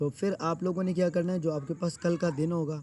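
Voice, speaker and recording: Fairly high in pitch, a man speaks with a dark, mellow tone and flat, monotone intonation. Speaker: SEO teacher. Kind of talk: live class tutorial. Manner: conversational, filler-heavy.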